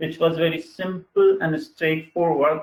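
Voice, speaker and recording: Ordinary pitch variation from a man. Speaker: engineer presenting software webinar. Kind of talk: webinar software demo. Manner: halting, many fillers.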